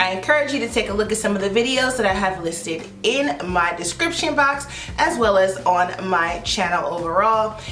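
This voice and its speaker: Loud and animated, a woman speaks at a medium pitch and moderate pace with very wide pitch swings and hardly any pauses, amid noticeable background noise and audible room echo. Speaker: beauty YouTuber. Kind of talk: product review vlog.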